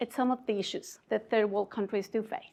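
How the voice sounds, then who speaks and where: At a fairly quick pace, a woman speaks with a slight Mexican accent. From Mexico, Mexico City. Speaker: conference speaker, innovation community leader. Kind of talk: conference talk. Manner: hesitant fillers.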